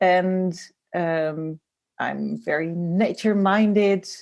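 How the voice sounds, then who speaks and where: A woman's medium-pitched voice, very slow, with fairly even intonation. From Netherlands. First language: Dutch. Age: 40s. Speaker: designer and graphic facilitator. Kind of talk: interview. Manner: hesitant, many fillers.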